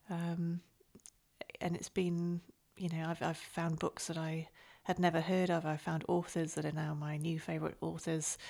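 A woman's fairly low, dark and mellow voice at a moderate pace, monotone and flat, on a very clean recording with a silent background. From northern England. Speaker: book podcast host. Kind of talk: casual chat.

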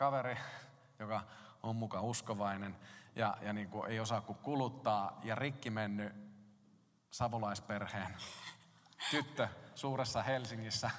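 The voice belongs to a man. Room echo is audible around it. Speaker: pastor. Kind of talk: sermon.

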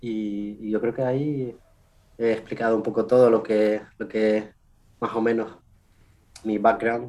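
Long, frequent pauses break up a man's fairly slow speech. His tone is dark and mellow, his intonation monotone and flat. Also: medium pitch for a man. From Canary Islands, Spain. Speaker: scientist. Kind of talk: interview.

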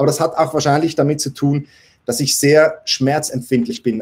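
Somewhat breathy, a man talks in a fairly high voice. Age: 40s. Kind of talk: live Q&A stream. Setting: livestream on several platforms.

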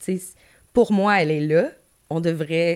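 The woman's voice sits at a fairly low pitch. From Gaspésie, Quebec. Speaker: music manager, former radio host. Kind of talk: casual interview.

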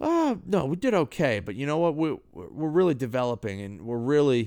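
Animated in tone, a man speaks. The recording is very clean, with a silent background. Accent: New England. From New Hampshire, US. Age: 30s. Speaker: podcaster and basketball coach. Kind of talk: casual monologue. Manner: halting with fillers.

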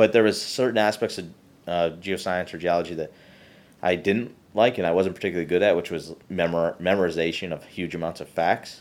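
Recorded very cleanly against a silent background, the speaker talks at a fairly quick pace with an Upper Midwest accent and fairly even intonation. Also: man, very deep, low pitch for a man. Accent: Upper Midwest American. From Michigan. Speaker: geoscience professor. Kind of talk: interview.

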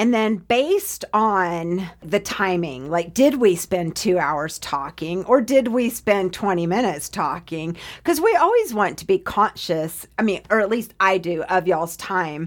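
A woman speaks at a fairly slow pace in a plain, everyday voice, medium in pitch with lively intonation and hardly any pauses. The recording is very clean, with a silent background. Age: 40s. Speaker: podcast guest. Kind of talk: casual chat. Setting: studio.

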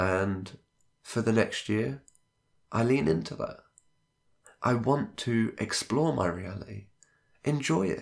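A man's medium-pitched voice with vocal fry and lively intonation, at a very slow pace with long, frequent pauses, on a very clean recording with a silent background. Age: 20s. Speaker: solo podcast host. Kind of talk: reflective monologue.

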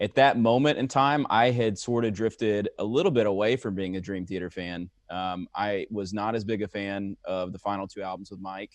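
A plain, everyday voice from a man, fairly low in pitch with ordinary variation, at a moderate pace against a quiet background. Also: dry, close sound with no echo. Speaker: prog rock music commentator. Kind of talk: casual chat.

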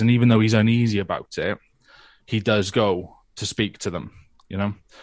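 Over a quiet background, a man with a British accent and a fairly low pitch talks at a moderate pace in a monotone, flat intonation. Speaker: comic creator and podcaster. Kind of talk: casual chat.

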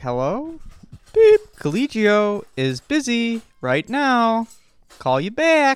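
A man's robotic put-on character voice at an extremely high pitch, with a very slow pace

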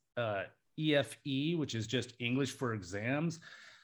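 This is an unremarkable speaking voice from a man with an American accent, pitched in the medium range with ordinary variation. He talks at a moderate pace on a very clean recording with a silent background. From US, Alaska. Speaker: international English teacher. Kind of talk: casual chat.

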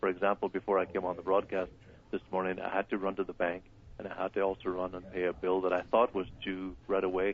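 A man with an Irish accent talks at a fairly quick pace. His pitch is very deep and low, and his intonation is monotone and flat. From Ireland. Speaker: wellness doctor. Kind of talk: live radio interview. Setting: phone call.

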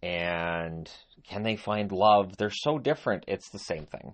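A man speaks in a normal speaking voice with fairly low pitch. His pitch varies in an ordinary way. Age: 50s. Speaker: solo YouTuber and podcaster covering hockey. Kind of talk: casual solo monologue. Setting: home recording on phone.

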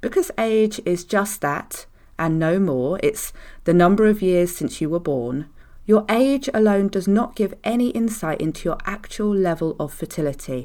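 Lively intonation and a moderate pace from a plain, everyday voice, on a very clean recording with a silent background. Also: woman, medium pitch for a woman. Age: 40s. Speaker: fertility mindset coach, podcast host. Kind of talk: solo podcast monologue.

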